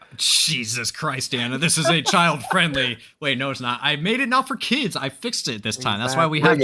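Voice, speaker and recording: Over noticeable background noise, the speaker keeps a moderate pace with hardly any pauses, using a playful tone and lively intonation. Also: man, fairly high pitch for a man. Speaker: gamer in group voice chat. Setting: online voice chat with stream chat. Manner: playful, joking.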